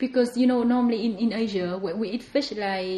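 A woman talks over noticeable background noise. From Vietnam. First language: Vietnamese. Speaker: home cook and podcast guest. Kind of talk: casual interview chat.

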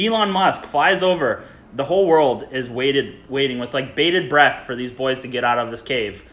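Using a plain, everyday voice, a man speaks at a moderate pace and medium pitch with lively intonation. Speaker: podcast host. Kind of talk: casual chat.

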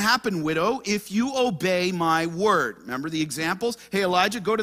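Reading aloud, plain and simple

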